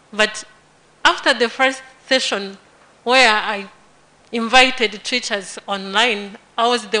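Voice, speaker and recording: There is noticeable background noise as a woman with a fairly high pitch talks at a fairly slow pace with fairly even intonation. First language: not English. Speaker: teacher. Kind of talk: testimony.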